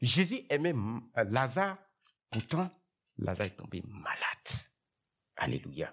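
Over light background noise, a man talks at a very slow pace with vocal fry, very wide pitch swings, and long, frequent pauses. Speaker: preacher. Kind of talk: sermon. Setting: church. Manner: animated, exhortative preaching, direct address to the congregation. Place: church. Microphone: headset.

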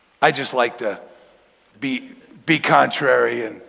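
In an American accent, a man is talking. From Denver, Colorado. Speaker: pastor. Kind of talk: sermon. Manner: casual, conversational. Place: church.

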